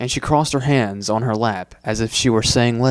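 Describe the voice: Someone reads a text aloud. It is plain reading aloud.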